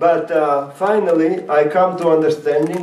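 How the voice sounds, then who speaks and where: With a non-native accent, a man speaks at a moderate pace and fairly high pitch, with audible room echo and noticeable background noise. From Latvia. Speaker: rabbi and former Soviet prisoner. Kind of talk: talk to an audience. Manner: halting, many fillers.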